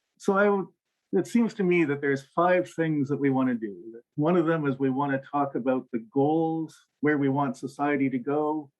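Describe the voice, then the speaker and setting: A man's voice with ordinary pitch variation. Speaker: professor. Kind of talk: conference talk. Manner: fast.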